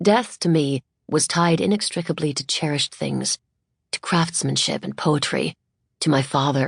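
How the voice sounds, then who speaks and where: The speech comes at a moderate pace in a dry, close sound with no echo. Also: woman. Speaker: audiobook narrator. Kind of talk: audiobook narration. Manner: lyrical, skilled delivery.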